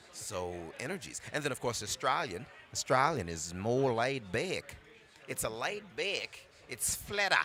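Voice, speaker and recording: A man at a fairly slow pace, medium pitch and very wide pitch swings, with music in the background. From Brooklyn, New York. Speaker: voice actor. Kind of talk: casual interview chat. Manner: animated.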